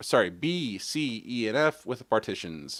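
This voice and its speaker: This is a normal speaking voice, delivered at a fairly slow pace. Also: man. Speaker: tech live streamer. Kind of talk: live tutorial. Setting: live stream.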